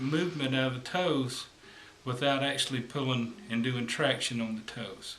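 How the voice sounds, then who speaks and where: With audible room echo and light background noise, a man talks at a moderate pace with ordinary pitch variation. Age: 50s. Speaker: massage therapist; massage therapist instructor. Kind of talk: tutorial. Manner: hesitant, with fillers. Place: home room. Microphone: camera far.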